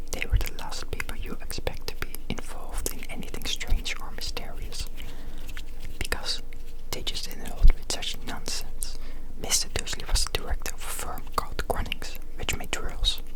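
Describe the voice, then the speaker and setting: Someone whispers throughout. The background noise is noticeable. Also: moderate pace. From Netherlands. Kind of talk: whispered book reading. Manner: whispered.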